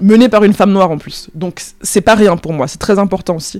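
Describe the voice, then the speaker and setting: A woman with a dark, mellow tone speaks at a fairly quick pace with fairly even intonation. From France, Paris suburbs, of Cameroonian parents. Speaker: freelance journalist. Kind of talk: interview conversation. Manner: hesitant, many fillers.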